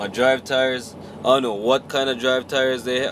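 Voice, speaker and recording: A man's medium-pitched voice at a fairly quick pace over noticeable background noise. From Jamaica. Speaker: truck driver vlogger. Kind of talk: casual vlog. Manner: casual, relaxed.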